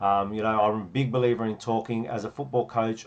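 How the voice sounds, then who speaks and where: A man with an Australian accent, medium pitch and a very fast pace. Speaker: football coach. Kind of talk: tutorial.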